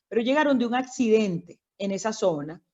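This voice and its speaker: A woman's intonation rises and falls in a lively way. She has a fairly high voice. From Venezuela, Caracas and Barlovento, Miranda. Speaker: doctor. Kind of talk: interview.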